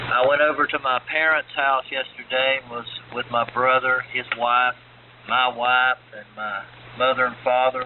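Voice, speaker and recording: A man talks at medium pitch and a moderate pace in a monotone, flat intonation with big swings in loudness. Noticeable background noise runs underneath. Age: 60s. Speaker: ham radio operator. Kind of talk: radio net check-in. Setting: amateur radio AM transmission.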